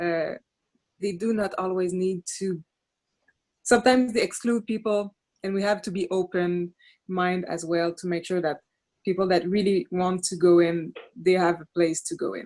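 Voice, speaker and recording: With a Quebec accent, a woman speaks with fairly even intonation and long, frequent pauses. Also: medium pitch for a woman, moderate pace. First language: French. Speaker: city councillor. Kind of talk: panel discussion. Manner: halting.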